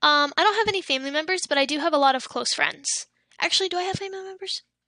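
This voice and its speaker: A woman's extremely high, raised and projected voice, bright and sharp in tone, with very wide pitch swings. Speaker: livestreamer. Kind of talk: casual chat. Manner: halting.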